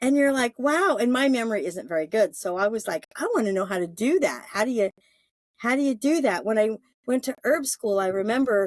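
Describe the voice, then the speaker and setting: Her voice is fairly high for a woman, with lively intonation and a fairly quick pace. The sound is dry and close, with no echo. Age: 60s. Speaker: yoga therapist and herbalist. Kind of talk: casual interview chat. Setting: podcast interview. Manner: halting, many fillers and restarts.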